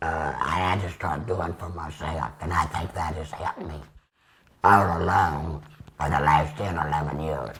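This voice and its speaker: A man with a Texan accent sounds strained, his pitch very deep and low. He keeps a moderate pace and fairly even intonation. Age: 70s. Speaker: laryngectomy patient, retired minister. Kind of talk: interview. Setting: at home.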